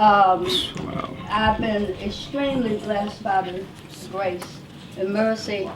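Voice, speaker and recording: A woman talks at a medium pitch amid audible room echo and noticeable background noise. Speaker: wellness speaker and life coach. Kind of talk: testimony. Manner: loud.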